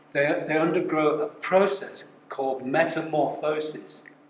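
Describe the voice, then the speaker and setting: Amid noticeable background noise and audible room echo, a man speaks with a fairly high pitch and ordinary pitch variation. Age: 70s. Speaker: company founder. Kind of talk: talk to a live audience. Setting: live event with audience. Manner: halting, many repetitions.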